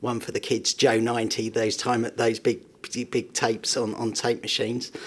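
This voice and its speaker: The pitch of this man's voice is medium. His pace is moderate. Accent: southeast London. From southeast London, England (Bexleyheath). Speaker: tech company CEO and entrepreneur. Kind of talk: podcast interview.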